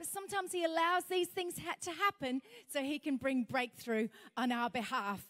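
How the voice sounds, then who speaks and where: The speaker, a woman, goes at a fairly quick pace. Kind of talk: sermon. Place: hall. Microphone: handheld.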